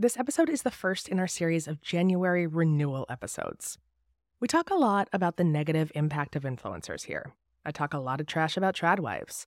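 A woman with an ordinary speaking voice talks at a fairly quick pace in a fairly low pitch with lively intonation. The sound is dry and close with no echo, on a very clean recording with a silent background. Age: 40s. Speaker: podcast host and novelist. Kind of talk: monologue intro to podcast.

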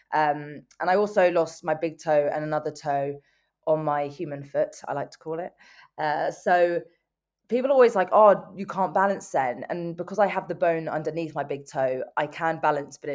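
Speaking at a moderate pace with a London accent, a woman uses a fairly low pitch and ordinary pitch variation against a quiet background. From England, North London. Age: 20s. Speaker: motivational speaker and amputee athlete. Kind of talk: interview.

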